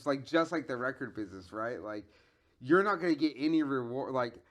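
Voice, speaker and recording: A man talks at a fairly quick pace in a normal speaking voice, his pitch fairly high. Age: 40s. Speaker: podcast host. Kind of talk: casual chat.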